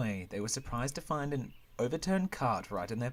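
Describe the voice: What we hear is plain reading aloud.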